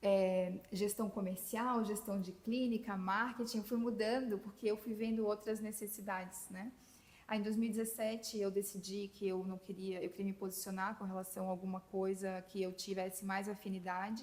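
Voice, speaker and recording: Somewhat breathy and at a medium pitch, a woman in a Florianópolis accent speaks at a moderate pace with monotone, flat intonation and hardly any pauses. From southern Brazil, Florianópolis. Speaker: physician, nutrition specialist. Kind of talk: podcast interview.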